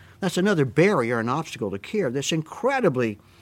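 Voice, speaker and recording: Speaking at a very fast pace, a man with a Southern US accent uses a fairly high pitch with very wide swings. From US South. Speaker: physician. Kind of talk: interview about prior authorization, conversational.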